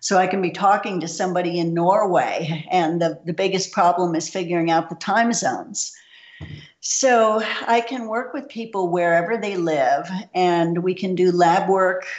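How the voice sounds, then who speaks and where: With a normal speaking voice, a woman talks at a moderate pace and fairly low pitch with ordinary pitch variation. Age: 60s. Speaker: nutritionist. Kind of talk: interview.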